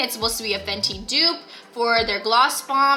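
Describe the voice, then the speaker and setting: Noticeable background noise sits behind this recording. A woman talks at a very fast pace with a high pitch. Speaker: beauty vlogger. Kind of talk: casual vlog haul. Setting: store, handheld vlog camera. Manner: animated.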